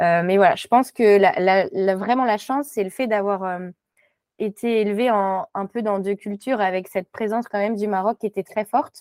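A woman with a plain, everyday voice, medium in pitch and moderate in pace, with ordinary pitch variation and a dry, close sound with no echo. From Morocco (French parents). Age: young. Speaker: textile designer. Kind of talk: interview.

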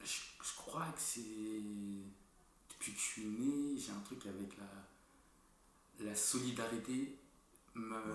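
Audible room echo surrounds speech delivered at a very slow pace with fairly even intonation. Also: man, fairly low pitch for a man. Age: 20s. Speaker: entrepreneur. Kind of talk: casual chat.

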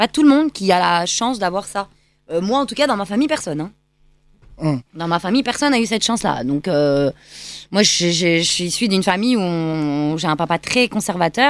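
Her pitch leaps and dips very widely as a woman talks at a moderate pace. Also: medium pitch for a woman. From France, Lyon. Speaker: choreographer and dancer. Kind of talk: radio interview. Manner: hesitant fillers.

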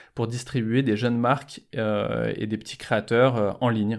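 At a moderate pace, a man with an ordinary speaking voice talks at a medium pitch with fairly even intonation, on a very clean recording with a silent background. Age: 40s. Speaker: fashion events entrepreneur. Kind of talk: podcast interview.

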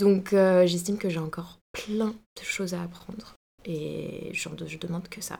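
A woman speaks at a fairly slow pace in a monotone, flat intonation. Her loudness swings widely. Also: medium pitch for a woman. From Bordeaux, France. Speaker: fashion student. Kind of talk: casual interview.

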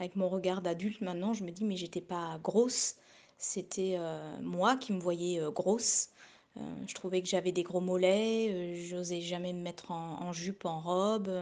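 Against a quiet background, a woman speaks fairly slowly at a medium pitch with fairly even intonation. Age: 40s. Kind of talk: recorded testimony. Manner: halting, many repetitions.

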